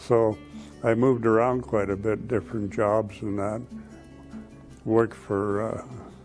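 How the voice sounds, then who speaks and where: Music plays in the background as a man speaks with a Canadian accent. His pitch is fairly low, his intonation fairly even, and his pace fairly slow. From Canada. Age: 70s. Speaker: retiree, Air Force veteran. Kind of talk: interview answer. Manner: hesitant, conversational.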